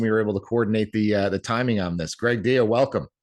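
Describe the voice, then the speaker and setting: A man with a New Jersey accent speaks at a very fast pace in a fairly low pitch. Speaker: podcast host. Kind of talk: podcast interview.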